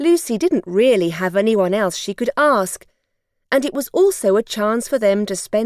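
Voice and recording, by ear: A natural voice reading aloud, lively intonation, a quiet background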